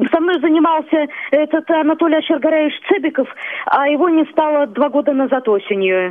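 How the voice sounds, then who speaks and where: At a moderate pace, a woman talks in a high voice whose pitch varies in an ordinary way. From Kalmykia. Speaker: singer. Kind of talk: phone interview. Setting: phone call.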